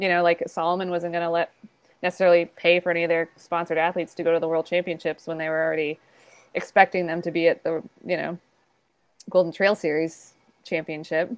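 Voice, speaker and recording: A woman's fairly low, monotone voice with flat intonation, a very fast pace broken by long, frequent pauses, and a quiet background. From US East Coast. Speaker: ultrarunner and race director; podcast guest. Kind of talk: casual interview chat. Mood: friendly, smiling. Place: home room. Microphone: earbuds.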